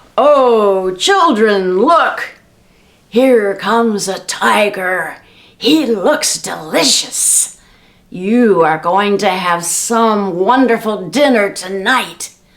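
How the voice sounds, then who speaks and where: A woman puts on a raspy character voice at a medium pitch and speaks at a very slow pace. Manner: loud, yelling, feigned cheer.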